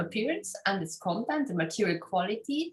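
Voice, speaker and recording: A woman's somewhat breathy voice with very wide pitch swings. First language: German. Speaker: philosophy scholar. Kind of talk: academic interview. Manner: halting, many fillers.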